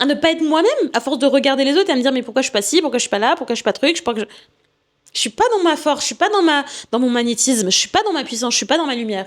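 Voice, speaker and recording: Animated in tone, a woman speaks at a very fast pace and a high pitch with very wide pitch swings. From Martinique heritage, lives in Paris 15 years. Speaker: podcast host and coach. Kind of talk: casual podcast monologue. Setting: at home, recording podcast.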